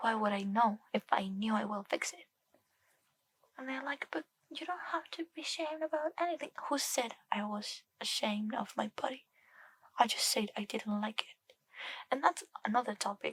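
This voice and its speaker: The speaker is soft-spoken. Long pauses come often. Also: moderate pace. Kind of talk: ASMR chatting to camera.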